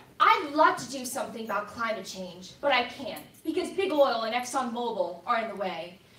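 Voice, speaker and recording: A woman speaks at a high pitch and moderate pace, with very wide pitch swings, big swings in loudness and hardly any pauses. Noticeable background noise and audible room echo fill the recording. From immigrant raised in Delaware County, Pennsylvania. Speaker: congressional candidate. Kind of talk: campaign debate opening statement.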